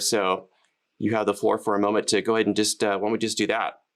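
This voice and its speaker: Very fast and monotone, a man with an American accent talks in a fairly low voice. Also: very even loudness. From United States. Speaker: live streaming educator and channel host. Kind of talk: casual interview chat.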